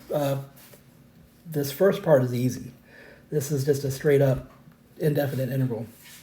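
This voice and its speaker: A man with a fairly high pitch speaks in a somewhat breathy voice at a moderate pace, his intonation fairly even. Long pauses come often, and the room echo is audible. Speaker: math teacher. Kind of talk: tutorial. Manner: hesitant with fillers.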